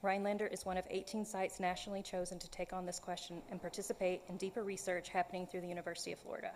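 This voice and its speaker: Speaking very fast, a woman with a Southern US accent holds a medium pitch. Her intonation is monotone and flat. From US South. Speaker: artist. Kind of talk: public comment at council meeting. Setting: city council meeting room. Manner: prepared, read statement.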